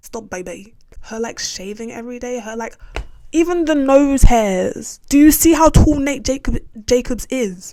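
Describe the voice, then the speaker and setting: Over noticeable background noise, a woman with a high pitch speaks in an animated tone at a moderate pace, with lively intonation and big swings in loudness. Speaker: YouTuber reviewing a TV show. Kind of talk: casual rant to camera. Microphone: audio may be distorted.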